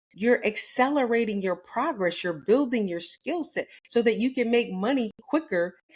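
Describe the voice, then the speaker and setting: A woman with a normal speaking voice, lively intonation and a moderate pace. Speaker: real estate coach. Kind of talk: motivational talk.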